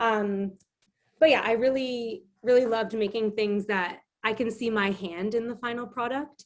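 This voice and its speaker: A woman with a Canadian accent talks at a moderate pace in an unremarkable speaking voice, fairly high in pitch, with fairly even intonation. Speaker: illustrator and craft instructor. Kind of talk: online craft demonstration.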